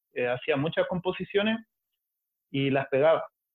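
A man with a Chilean accent and ordinary pitch variation. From Chile, Valparaíso. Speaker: collage artist. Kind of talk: casual chat.

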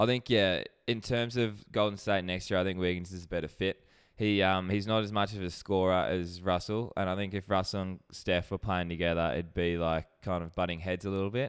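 On a very clean recording with a silent background, a man with an Australian accent talks fairly quickly in a very deep, low voice with fairly even intonation. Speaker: sports betting podcast co-host. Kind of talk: casual chat.

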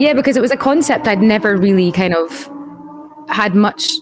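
A woman with a Scottish accent speaks fairly quickly, her pitch fairly high and her intonation lively. Noticeable background noise runs underneath. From Scotland. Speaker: audio engineer and musician. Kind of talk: casual chat.

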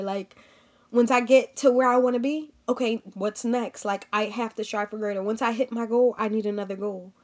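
An unremarkable speaking voice with fairly even intonation at a moderate pace, on a very clean recording with a silent background. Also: woman. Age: 20s. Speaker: podcast host and professional football player. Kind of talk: solo podcast monologue. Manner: casual, frequent filler words.

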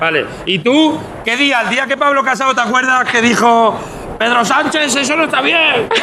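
Over noticeable background noise, a man projects a raised voice at an extremely high pitch, keeping a moderate pace and very even loudness. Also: ordinary pitch variation. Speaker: comedian street reporter. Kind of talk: comedic live street segment. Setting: outdoors on the street.

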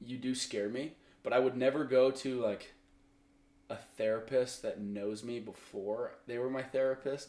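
In an American accent, a man with a medium-pitched, dark, mellow tone talks at a moderate pace with fairly even intonation. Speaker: podcast guest. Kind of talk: casual chat.

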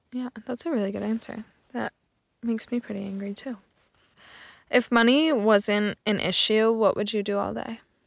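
Long, frequent pauses break up speech delivered at a moderate pace with fairly even intonation. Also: woman, fairly high pitch for a woman. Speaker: podcast host. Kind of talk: casual interview. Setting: recording booth.

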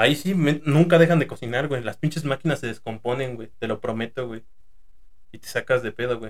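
A man speaks in a somewhat breathy, medium-pitched voice with ordinary pitch variation. His loudness swings widely. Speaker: podcast host, former fast food worker. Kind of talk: casual chat.

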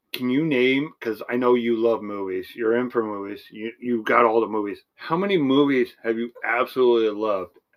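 At a moderate pace, a man talks in a normal speaking voice with medium pitch and ordinary pitch variation. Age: 40s. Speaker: podcast co-host. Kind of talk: casual chat.

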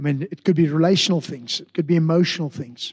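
Very fast and fairly even in intonation, a man speaks with a fairly high pitch. The sound is dry and close, with no echo. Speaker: pastor. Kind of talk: sermon.

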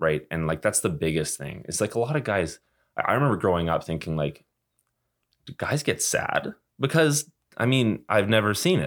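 In a Western Canadian accent, a man with a fairly low pitch speaks with very wide pitch swings. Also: moderate pace. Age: 20s. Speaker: junior hockey player. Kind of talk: interview.

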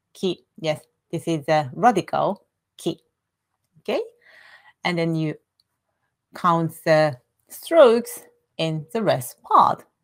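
Using a fairly low pitch with ordinary pitch variation, a woman speaks at a very slow pace with long, frequent pauses. The sound is dry and close, with no echo. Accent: Japanese. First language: Japanese. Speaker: Japanese language teacher. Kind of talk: tutorial. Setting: live stream with screen share. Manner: halting.

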